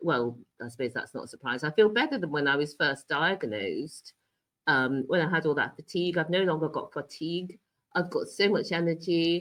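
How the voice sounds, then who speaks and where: This woman has a British accent and a fairly low pitch. She speaks at a moderate pace. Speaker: cancer patient and health coach. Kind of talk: interview.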